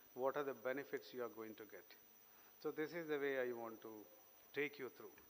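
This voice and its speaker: A man's medium pitch and ordinary pitch variation, in a Keralan accent. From Kerala, India. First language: Malayalam. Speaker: invited speaker. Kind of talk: speech.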